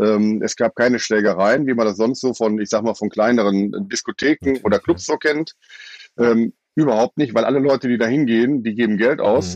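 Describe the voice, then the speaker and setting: This man has an ordinary speaking voice, a medium pitch, ordinary pitch variation and very even loudness at a fairly quick pace. The sound is dry and close, with no echo. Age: 50s. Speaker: festival-goer. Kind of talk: casual chat.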